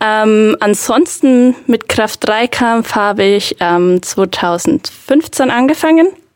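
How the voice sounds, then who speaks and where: Speaking very slowly with hardly any pauses, a woman keeps her loudness very even while her fairly high voice moves with lively intonation, recorded dry and close with no echo. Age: 20s. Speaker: powerlifter. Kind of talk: casual chat.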